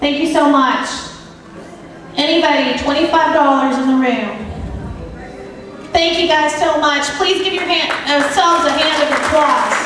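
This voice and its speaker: A high-pitched woman's voice at a fairly slow pace, with fairly even intonation, very even loudness, strong room echo and light background noise. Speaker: charity auctioneer. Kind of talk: charity auction paddle-raise calling. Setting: live event room, microphone. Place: hall.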